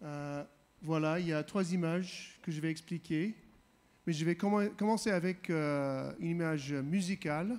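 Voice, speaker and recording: A man with a non-native accent and a high pitch, at a fairly slow pace with ordinary pitch variation, in a very clean recording with a silent background. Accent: foreign accent in French. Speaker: visiting preacher. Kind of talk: sermon. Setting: church. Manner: halting, many hesitations.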